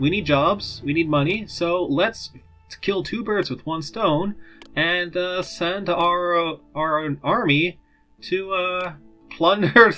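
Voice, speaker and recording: Over music in the background, a man with a high voice speaks very slowly, with ordinary pitch variation. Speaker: let's play commentator. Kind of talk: casual gameplay commentary. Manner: mumbling.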